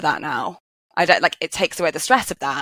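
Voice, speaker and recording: Heard in a very clean recording with a silent background and a dry, close sound with no echo, a woman with a Welsh accent speaks at a fairly quick pace and fairly low pitch. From Wales. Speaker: geoenvironmental engineer. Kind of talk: podcast interview. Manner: loud.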